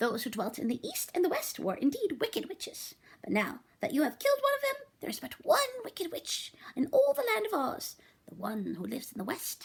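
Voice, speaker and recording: Putting on a character voice, a woman speaks high-pitched at a fairly quick pace. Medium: read story. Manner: gentle, kindly.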